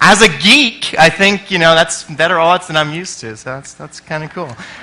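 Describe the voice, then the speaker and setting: Over noticeable background noise, a man with an American accent and fairly high pitch talks at a moderate pace. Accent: sounds American. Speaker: conference speaker, experience designer. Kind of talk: conference talk. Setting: stage with audience. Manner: energetic and loud.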